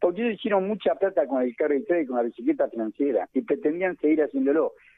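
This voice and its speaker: A man talks very fast in a high voice, his pitch swinging very widely. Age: 70s. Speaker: economist. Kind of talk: radio interview.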